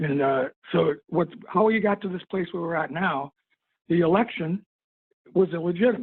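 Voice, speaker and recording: Speaking at a moderate pace, a man leaves long, frequent pauses. His pitch is high, with ordinary variation. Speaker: veterans' club member, past commander. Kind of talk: meeting comment.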